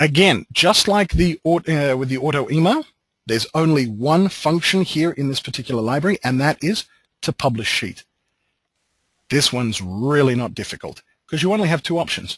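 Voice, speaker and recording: A somewhat breathy man with an Australian accent talks at a fairly high pitch with lively intonation, in a dry, close sound with no echo. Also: moderate pace, quiet background. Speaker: software trainer. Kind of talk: webinar tutorial. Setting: online webinar.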